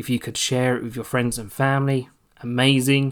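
On a very clean recording with a silent background, a man with a British accent speaks very fast at a medium pitch in a flat monotone. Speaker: solo podcast host. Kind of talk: casual solo monologue. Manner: chatty, rambling with frequent laughs.

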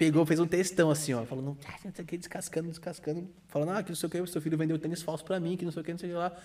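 A man's high-pitched, dark and mellow voice, monotone and flat, at a very fast pace with hardly any pauses. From Brazil, Santos (São Paulo coast). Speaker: sneaker reseller, shop owner. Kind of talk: casual chat.

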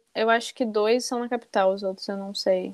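Dry and close with no echo, a woman's medium-pitched voice moves at a fairly quick pace in monotone, flat intonation. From southern Brazil, Rio Grande do Sul. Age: 20s. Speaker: journalism student. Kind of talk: casual chat.

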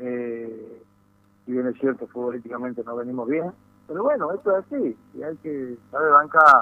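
A man speaks at a moderate pace with lively intonation in a normal speaking voice. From Tucumán, Argentina. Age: 60s. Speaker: football club executive. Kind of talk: radio interview.

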